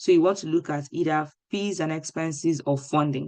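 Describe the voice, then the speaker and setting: A woman speaks at a moderate pace with a very deep, low pitch and ordinary pitch variation. The background is quiet. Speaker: webinar speaker on graduate school. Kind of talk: webinar presentation with screen demo.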